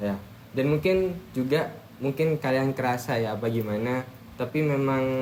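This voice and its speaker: At a moderate pace, a man speaks at medium pitch with ordinary pitch variation and very even loudness over noticeable background noise. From Madura, Indonesia (Bangkalan). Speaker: university student. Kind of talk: casual group podcast discussion. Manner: naturally loud, forceful tone; halting, many fillers.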